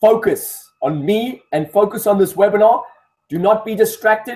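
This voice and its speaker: A man's high-pitched voice. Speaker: performance coach. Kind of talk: live webinar training. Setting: live online webinar. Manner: fast; animated.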